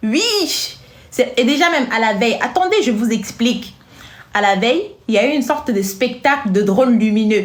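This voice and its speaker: A woman with an African accent speaks at a high pitch and a moderate pace, her tone animated and her intonation lively, at very even loudness. Audible room echo and noticeable background noise fill the recording. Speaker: social media commentator. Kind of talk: casual vlog commentary.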